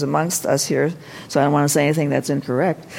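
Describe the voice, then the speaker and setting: There is noticeable background noise behind a woman whose voice has a very deep, low pitch. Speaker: translator and author. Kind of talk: panel discussion. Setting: stage with audience.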